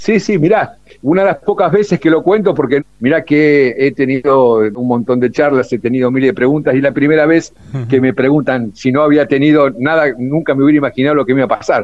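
Here is a man with a fairly high pitch and ordinary pitch variation. He talks at a fairly quick pace with very even loudness. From Buenos Aires, Argentina. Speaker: war veteran. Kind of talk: testimony. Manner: animated.

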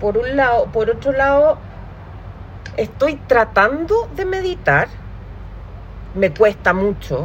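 Against noticeable background noise, a woman with a high pitch speaks at a very slow pace with very wide pitch swings and long, frequent pauses. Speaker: podcast host. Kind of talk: casual chat.

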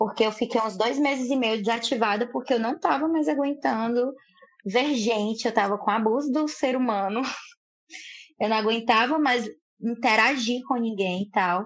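A woman speaks at a moderate pace in a fairly high pitch. Her pitch variation is ordinary. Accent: Ceará. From Fortaleza, Ceará, Brazilian Northeast. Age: 20s. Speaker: social media personality. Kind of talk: casual chat.

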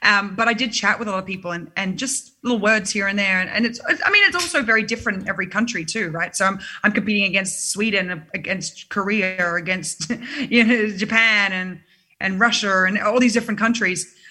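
A woman with an Australian accent talks at a fairly quick pace and a medium pitch. Her intonation stays fairly even over noticeable background noise. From Sydney, Australia. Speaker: singer-songwriter. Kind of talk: casual interview. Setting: video call.

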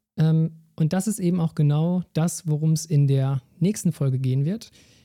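Music plays in the background as a man speaks with a fairly high pitch. His voice has ordinary pitch variation and a dry, close sound with no echo. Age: 30s. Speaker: sports scientist podcast host. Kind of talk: solo educational podcast.

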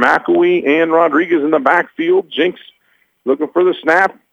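A man speaks with an American accent at a fairly high pitch. His normal speaking voice carries ordinary pitch variation. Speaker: radio play-by-play announcer. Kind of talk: live sports commentary, play-by-play. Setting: broadcast booth, press box at stadium.

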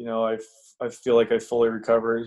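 Speaking fast at a medium pitch, a man delivers his words in a slightly mellow tone with monotone, flat intonation.

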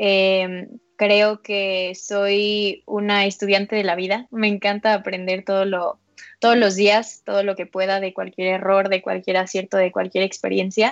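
Fairly slow, flat, monotone speech from a woman at a medium pitch. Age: 20s. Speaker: women's football press officer. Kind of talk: interview.

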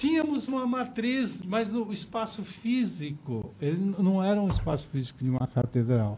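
A man's high voice, swinging very widely in pitch, with hardly any pauses. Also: moderate pace. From Osasco, São Paulo. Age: 60s. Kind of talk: casual interview chat.

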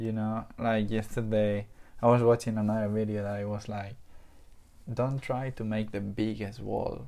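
A man with a non-native accent, fairly low in pitch, dark and mellow in tone, in a flat monotone at a moderate pace. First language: not English. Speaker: podcast host. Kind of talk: casual chat.

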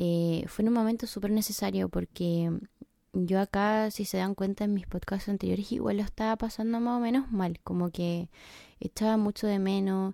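A woman with a Chilean accent speaks at a moderate pace and medium pitch, with a dark, mellow tone and fairly even intonation in a very clean recording with a silent background. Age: 20s. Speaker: podcaster. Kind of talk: personal podcast monologue.

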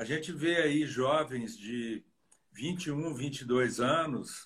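A somewhat breathy man's voice, fairly high in pitch, with ordinary pitch variation. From Brazil, Minas Gerais (Diamantina). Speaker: dentist and professor. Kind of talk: interview in a live stream.

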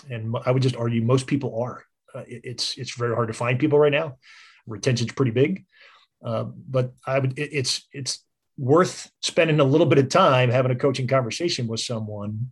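With an American accent, the somewhat breathy voice moves at a moderate pace with fairly even intonation over a quiet background. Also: man, medium pitch for a man. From US Northeast (Philadelphia suburbs). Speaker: business consultant. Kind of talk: casual interview.

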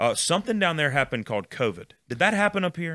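A man with a Southern US accent talks at a very fast clip, his tone bright and sharp. The recording is very clean, with a silent background. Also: dry, close sound with no echo. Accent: Southern American. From US South, Mississippi (Jackson area). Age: 30s. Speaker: student ministry pastor. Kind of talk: casual chat.

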